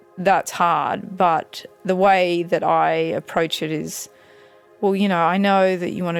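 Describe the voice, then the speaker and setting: Music plays in the background. A woman with an Australian accent talks at a fairly slow pace. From Australia, Canberra. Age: 30s. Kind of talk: personal testimony. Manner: hesitant, many fillers.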